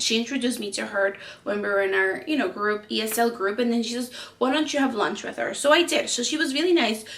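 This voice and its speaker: A woman with a Spanish accent speaks at a very fast pace, fairly high-pitched and with lively intonation. Noticeable background noise is present. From Peru. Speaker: lifestyle vlogger. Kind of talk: personal storytelling vlog. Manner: hesitant, many fillers.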